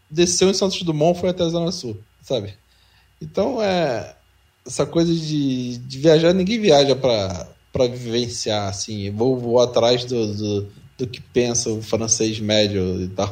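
A man at a medium pitch, speaking at a fairly slow pace, with very wide pitch swings. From São Paulo, Brazil. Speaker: podcast co-host. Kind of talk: casual chat.

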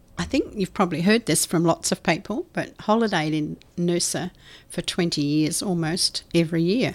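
Here is a woman with an Australian accent and a fairly low pitch. She speaks at a moderate pace with ordinary pitch variation. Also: very clean recording, silent background. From South Australia. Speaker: hospice charity chair. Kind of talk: interview. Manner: hesitant with fillers.

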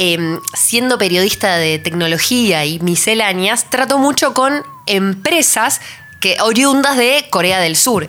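A woman with a Rioplatense accent speaks at a fairly slow pace and a fairly high pitch. Her pitch swings very widely over noticeable background noise. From Argentina, Buenos Aires. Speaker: podcast host and tech journalist. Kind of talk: casual chat.

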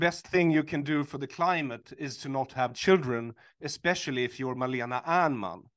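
Against a quiet background, a man with a Swedish accent speaks at a moderate pace with a fairly high pitch, ordinary pitch variation, and big swings in loudness. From Sweden. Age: 40s. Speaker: author and comedian. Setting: video call. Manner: halting, hesitant with fillers.

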